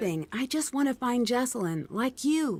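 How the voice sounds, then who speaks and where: Using a put-on character voice, a woman speaks at a moderate pace, her high pitch making very wide swings. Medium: video game. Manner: polite, inquisitive.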